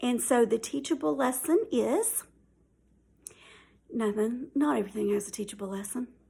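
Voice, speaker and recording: With a Southern US accent, a woman speaks at a fairly slow pace in a high voice. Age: 50s. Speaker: YouTuber. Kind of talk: casual chat. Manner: hesitant, many fillers.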